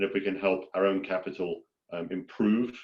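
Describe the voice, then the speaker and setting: With a British accent, a man speaks at a moderate pace in a fairly low pitch. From Britain. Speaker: farmland investor. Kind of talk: webinar presentation.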